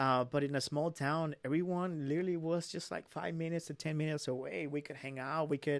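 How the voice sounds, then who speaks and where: Speaking at a very fast pace in a Spanish accent, a man uses a fairly high pitch and fairly even intonation on a very clean recording with a silent background. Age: 20s. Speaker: young entrepreneur. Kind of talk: casual interview.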